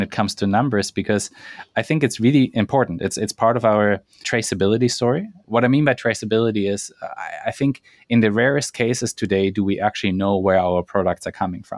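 A man with a German accent at a fairly quick pace, dry and close with no echo, on a very clean recording with a silent background. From Germany, Alps village. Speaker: entrepreneur. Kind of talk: interview.

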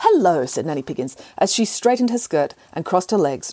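A natural voice reading aloud

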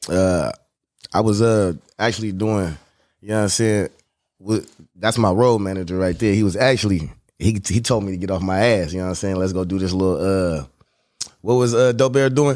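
The recording is very clean, with a silent background. A man talks at a fairly quick pace with ordinary pitch variation and long, frequent pauses. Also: fairly low pitch for a man. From Oakland, California. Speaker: rapper. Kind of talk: casual interview chat.

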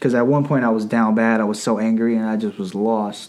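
Here a man with an ordinary speaking voice talks at a fairly quick pace. His pitch is medium, with an American accent. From Northern Virginia, US. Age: 20s. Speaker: teacher. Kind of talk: casual chat.

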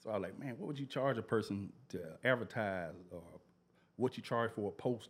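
A man with an ordinary speaking voice talks at a fairly quick pace. His pitch is medium, with ordinary variation. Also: very clean recording, silent background. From Memphis, Tennessee area (US South). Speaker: Instagram media page creator, former electrician. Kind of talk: casual interview chat.

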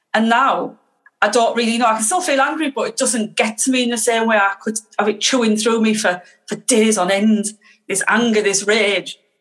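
A woman with a Teesside accent speaks at a moderate pace with a fairly high pitch and ordinary pitch variation. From northeast England, Teesside. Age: 50s. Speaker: guest sharing recovery story. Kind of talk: casual interview.

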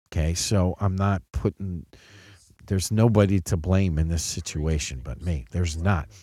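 Very deep and low in pitch, a man with a dark, mellow tone speaks at a moderate pace with ordinary pitch variation on a very clean recording with a silent background. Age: 50s. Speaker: podcast host, father of co-host. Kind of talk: casual chat.

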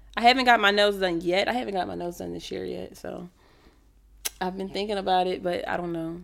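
A woman at a fairly quick pace with big swings in loudness. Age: 20s. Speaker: podcast co-host. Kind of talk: casual chat.

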